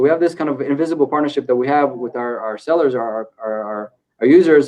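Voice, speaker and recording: With an Israeli accent, a man talks at a very fast pace in a dark, mellow tone. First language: Hebrew. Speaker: e-commerce company co-founder. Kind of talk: podcast interview. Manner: hesitant, many fillers and repeats.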